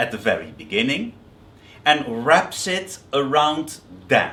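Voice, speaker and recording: A man's voice with vocal fry and audible room echo. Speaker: biblical scholar. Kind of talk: lecture. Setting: seminary workshop. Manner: hesitant, with fillers and repetitions.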